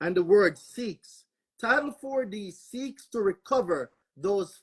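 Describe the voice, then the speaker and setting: Someone speaks at a very slow pace in a Jamaican accent. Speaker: panelist on legal topics. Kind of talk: panel discussion.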